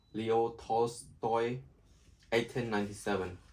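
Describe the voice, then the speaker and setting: A man talks at a fairly slow pace. He speaks with a non-native accent. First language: not English. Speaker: amateur audiobook reader. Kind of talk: reading aloud. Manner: halting.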